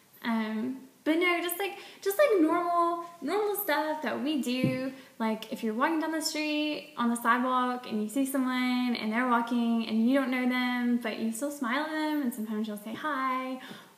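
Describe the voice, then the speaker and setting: In a Southern US accent, a woman speaks at a moderate pace with a high pitch and lively intonation, over noticeable background noise and audible room echo. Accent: Southern US (Georgia). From US South, Georgia. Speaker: vlogger. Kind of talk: casual vlog monologue. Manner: casual, filler-heavy.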